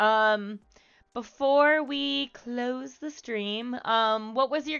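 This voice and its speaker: This woman has a high-pitched voice. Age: 20s. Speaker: streamer. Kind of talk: casual chat. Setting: live stream with chat. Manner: loud; halting, many fillers.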